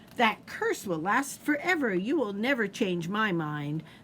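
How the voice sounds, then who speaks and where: Over clear background noise, a woman of medium pitch speaks at a moderate pace in a put-on character voice. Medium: read story. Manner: shrill, plotting.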